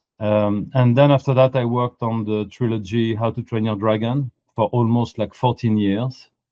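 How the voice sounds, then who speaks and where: At a fairly slow pace, a man with a French accent speaks at a medium pitch with fairly even intonation. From France. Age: 50s. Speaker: animation art director. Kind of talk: interview.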